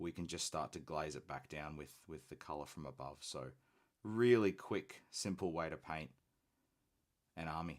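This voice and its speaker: Vocal fry runs through the speech, which has long, frequent pauses. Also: man, very deep, low pitch for a man, ordinary pitch variation, moderate pace. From Australia. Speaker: hobby painting streamer. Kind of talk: live stream casual chat and painting tutorial. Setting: live stream.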